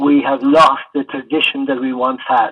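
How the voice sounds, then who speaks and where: A man talks with an Irish accent. His intonation stays monotone and flat. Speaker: retired Gaelic football player. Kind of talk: oral history interview answer.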